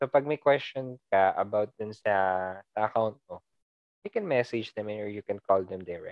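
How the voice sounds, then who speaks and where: A man with a Filipino accent speaks at a moderate pace and medium pitch, with ordinary pitch variation and big swings in loudness. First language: Tagalog. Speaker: podcast host. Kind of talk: casual interview chat.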